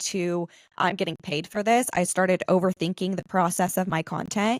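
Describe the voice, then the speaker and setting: At a moderate pace and medium pitch, a woman speaks in a monotone, flat way, the sound dry and close with no echo on a very clean recording with a silent background. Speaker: podcast host and UGC creator. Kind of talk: casual interview chat.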